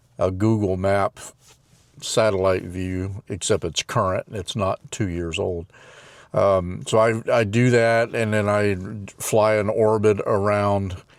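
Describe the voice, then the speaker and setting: A man speaks very slowly in a fairly low, monotone voice with flat intonation. The sound is dry and close with no echo, in a very clean recording with a silent background. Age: 70s. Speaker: retired drone pilot and video creator. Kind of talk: casual vlog talk to camera. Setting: outdoors at a construction site. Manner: halting, with many fillers.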